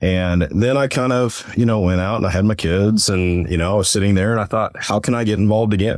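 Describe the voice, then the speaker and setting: A man with an American accent speaks at a fairly quick pace in a fairly low pitch with fairly even intonation. He has a plain, everyday voice. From Missouri. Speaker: pipeline company employee and nonprofit board member. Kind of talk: interview.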